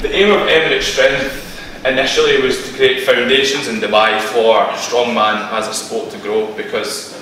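Strong room echo around a man speaking at a moderate pace, with light background noise. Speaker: presenter. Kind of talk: lecture. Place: meeting room. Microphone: camera far.

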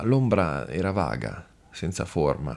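The voice carries a dramatic tone. Vocal fry runs through it. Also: man. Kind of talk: scripted narration, audiobook reading of a horror tale. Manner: slow, hushed, ominous, with eerie dramatic pauses building dread.

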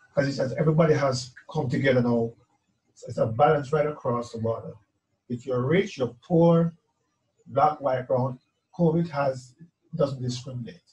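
Over a quiet background, a man with a fairly high, somewhat breathy voice speaks at a moderate pace with ordinary pitch variation. He leaves long, frequent pauses. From Jamaica. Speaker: musician. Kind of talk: testimony. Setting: video call. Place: home room.

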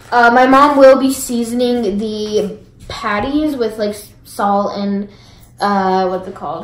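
Recorded with audible room echo, a woman talks at a very slow pace with big swings in loudness. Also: ordinary pitch variation. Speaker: vlogger. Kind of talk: casual vlog chat. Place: kitchen. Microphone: phone near.

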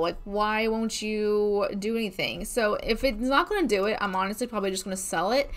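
Using ordinary pitch variation, a woman speaks at a moderate pace. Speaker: gamer streamer. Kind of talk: casual gameplay commentary. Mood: mildly frustrated, playful.

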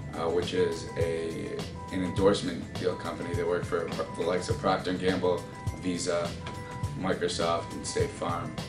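A man talks at a moderate speed while clear music plays behind him. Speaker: marketing graduate, intern. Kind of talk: interview answer. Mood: friendly, enthusiastic. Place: office. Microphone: camera far.

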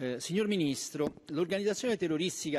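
A man speaking at a fairly quick pace. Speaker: member of parliament. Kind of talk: parliamentary oratory, formal question on terrorism; parliamentary question. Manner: hesitant, filler-heavy, repeating words. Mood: serious, formal. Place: hall. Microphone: podium.

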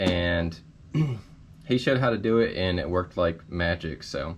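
With light background noise behind him, a man speaks at a moderate pace in a very deep, low pitch. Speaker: DIY repair vlogger. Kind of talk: tutorial. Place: garage. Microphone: phone near.

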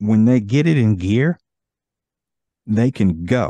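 Against a quiet background, a man with a dark, mellow tone and lively intonation is recorded with a dry sound and no echo. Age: 50s. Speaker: podcast host. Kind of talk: casual chat. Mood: jovial, relaxed. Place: home room. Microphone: studio mic.

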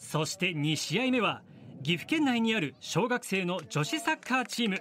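A man's high voice swings very widely in pitch as he talks at a moderate pace. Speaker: TV news narrator. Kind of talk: TV news narration.

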